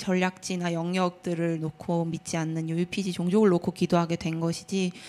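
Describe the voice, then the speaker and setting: At a very slow pace, a woman speaks with a fairly low pitch. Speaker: prayer ministry member. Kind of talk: testimony.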